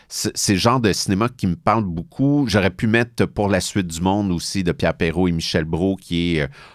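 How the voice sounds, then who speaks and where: In a Quebec accent, a man with a very deep, low pitch speaks fairly quickly with hardly any pauses and ordinary pitch variation, on a very clean recording with a silent background. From Quebec, Boucherville (Montreal south shore). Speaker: film critic. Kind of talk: interview. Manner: hesitant, many fillers.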